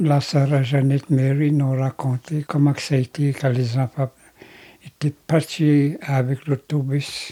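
In a dry, close recording with no echo, a man with a fairly high pitch and a dark, mellow tone speaks at a very slow pace in a monotone, flat intonation. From Quebec, Grand Lac Victoria (Anishinabe). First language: Algonquin (Anishinabemowin) (speaking French). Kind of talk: testimony. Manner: halting.

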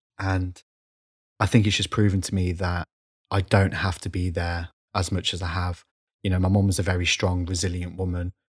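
A man's somewhat breathy, very deep voice in monotone, flat intonation at a moderate pace, with long, frequent pauses, in a very clean recording against a silent background. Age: 30s. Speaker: podcaster. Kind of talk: casual interview chat. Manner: halting.

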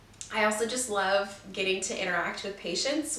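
Audible room echo and noticeable background noise surround speech at a moderate pace with ordinary pitch variation. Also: woman. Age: 20s. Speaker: podcast host and student. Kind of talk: casual monologue; sponsor read. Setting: home room, on camera.

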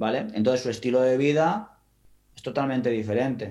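With a plain, everyday voice, a man talks at a moderate pace and medium pitch, his pitch varying in an ordinary way. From Spain, Valencian coast (Gandía). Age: 30s. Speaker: football coach. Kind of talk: interview conversation.

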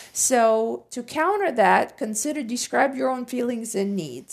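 A woman's fairly slow speech with lively intonation. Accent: Russian. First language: Russian. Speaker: podcast co-host. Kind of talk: casual chat.

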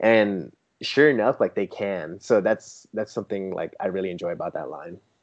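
This man has a West Coast US accent. He talks at a fairly quick pace. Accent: General American (West Coast). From San Diego, California. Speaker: toy photographer. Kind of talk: casual interview chat. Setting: remote call.

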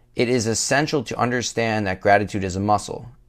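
This man has an ordinary speaking voice at a medium pitch. He talks fairly quickly with ordinary pitch variation. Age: 20s. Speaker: podcast host, fitness coach. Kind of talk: scripted monologue.

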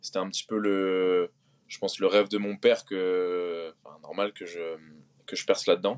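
In a dry, close sound with no echo, a man speaks at a fairly slow pace with monotone, flat intonation. He leaves long, frequent pauses, and his loudness swings a lot. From Brittany, Finistère (Concarneau). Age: 20s. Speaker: CrossFit athlete. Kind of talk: casual chat. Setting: video call from a hotel room.

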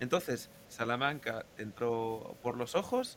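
In a plain, everyday voice, a man talks at a medium pitch with ordinary pitch variation. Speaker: podcast host. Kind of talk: casual chat.

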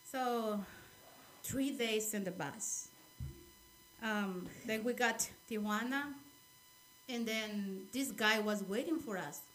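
Amid noticeable background noise, a woman with a fairly high pitch speaks at a very slow pace with long, frequent pauses and ordinary pitch variation. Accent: Spanish. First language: Spanish. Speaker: immigrant sharing life story. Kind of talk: interview. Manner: halting.

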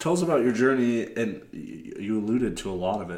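A man talks with an American accent. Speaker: podcast host. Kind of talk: interview questions.

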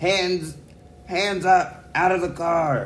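A man's put-on character voice, high-pitched, with audible echo. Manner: commanding, shouting.

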